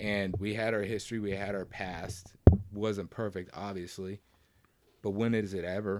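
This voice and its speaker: A man speaks in a fairly low pitch at a moderate pace. His intonation is monotone and flat, with noticeable background noise behind him. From US South. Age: 40s. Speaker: podcast guest, coworker of host. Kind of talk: casual chat.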